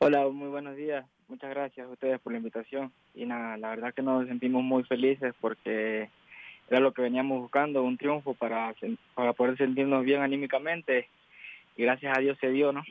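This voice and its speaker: At a moderate pace, a man speaks at a medium pitch with monotone, flat intonation. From Ecuador. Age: 20s. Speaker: footballer. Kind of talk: interview.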